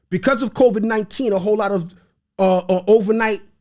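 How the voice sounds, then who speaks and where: An animated man with a Haitian accent, high in pitch, ordinary pitch variation. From New York, of Haitian parents. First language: Haitian Creole. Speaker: real estate investor. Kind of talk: podcast interview.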